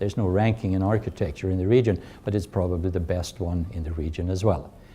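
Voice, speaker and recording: Somewhat breathy and dark, mellow in tone, a man speaks at a fairly low pitch with a Swedish accent. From Sweden. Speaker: university chancellor. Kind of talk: interview. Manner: hesitant with fillers.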